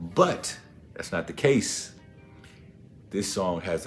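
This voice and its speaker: There is music in the background. A man talks over it at a fairly slow pace. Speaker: spoken word poet. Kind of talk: casual talk to camera.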